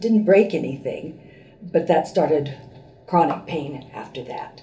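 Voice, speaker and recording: Amid audible room echo, a woman talks at a moderate pace with a fairly low pitch. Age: 70s. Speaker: patient, retired teacher and school administrator. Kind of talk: testimony. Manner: hesitant, many fillers.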